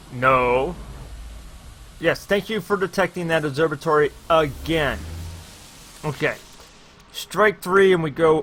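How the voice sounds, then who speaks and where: Ordinary pitch variation marks this man's speech in an American accent. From USA. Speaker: gaming streamer. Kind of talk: live stream gameplay commentary. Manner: animated.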